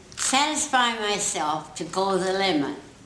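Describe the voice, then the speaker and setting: A woman with lively intonation, amid light background noise and audible room echo. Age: 80s+. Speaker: honoured guest giving a speech. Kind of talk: public speech. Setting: community hall. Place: hall. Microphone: camera far.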